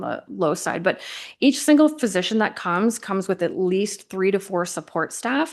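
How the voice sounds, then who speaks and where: A woman at medium pitch speaks against a quiet background. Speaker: hospital district executive. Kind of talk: presentation. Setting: council meeting with audience. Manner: fast.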